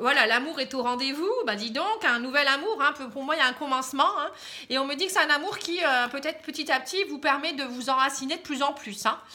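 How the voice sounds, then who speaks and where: A woman speaks in a raised, projected voice with a bright, sharp tone and a high pitch. Her pace is fairly quick and her pitch varies in an ordinary way. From northern France, Pas-de-Calais. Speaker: tarot card reader. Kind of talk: casual aside; tarot reading monologue to camera. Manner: hesitant, many fillers.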